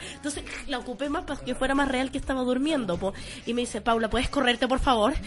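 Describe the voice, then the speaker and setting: A woman speaks very fast in a Chilean accent, her high-pitched voice animated yet with ordinary pitch variation. Noticeable background noise sits behind her. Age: 20s. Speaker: radio show co-host. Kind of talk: casual chat. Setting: radio studio.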